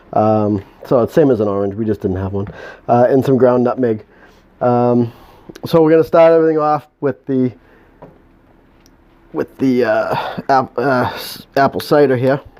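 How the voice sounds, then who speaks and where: With a New England accent, a man at medium pitch speaks at a moderate pace with ordinary pitch variation and long, frequent pauses. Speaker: home moonshine maker. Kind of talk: tutorial. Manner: halting.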